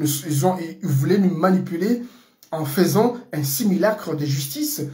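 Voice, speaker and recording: A man with a Comorian accent speaks very slowly at a high pitch, with lively intonation. Audible room echo and noticeable background noise fill the recording. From Comoros. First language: Comorian (speaking French). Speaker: political commentator. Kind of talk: political monologue. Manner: halting, many fillers.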